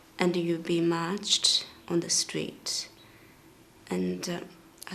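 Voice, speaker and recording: This speaker talks at a very slow pace with a Tibetan accent. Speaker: singer. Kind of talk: interview testimony.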